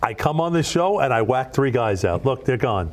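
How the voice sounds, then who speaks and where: A man speaks with an American accent and very wide pitch swings. Noticeable background noise runs behind him. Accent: Brooklyn accent, toned down a little. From Brooklyn, New York. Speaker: radio DJ. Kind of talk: casual interview chat. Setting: TV studio.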